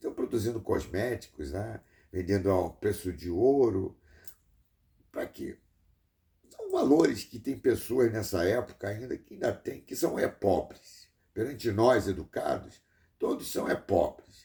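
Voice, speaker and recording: A man speaks at a fairly slow pace, his loudness swinging widely, with long pauses coming often. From Brazil. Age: 60s. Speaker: engineer and vlogger. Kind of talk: rambling monologue vlog. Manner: halting with many repetitions.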